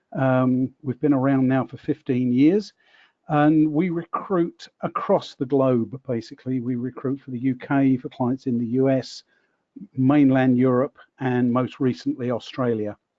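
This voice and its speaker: A British-accented man at a medium pitch, with fairly even intonation and a fairly slow pace. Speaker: recruiter, company owner. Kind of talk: online panel discussion.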